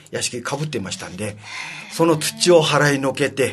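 Over music in the background, a man with a fairly high pitch talks at a moderate pace with ordinary pitch variation. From Okinawa, Shuri (Naha). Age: 70s. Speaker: city council member. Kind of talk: interview.

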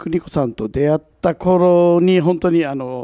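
A very slow, fairly high male voice with ordinary pitch variation, in a dry, close sound with no echo. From Ishigaki, Yaeyama, Okinawa. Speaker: singer-songwriter. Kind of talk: casual chat. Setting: public recording with audience.

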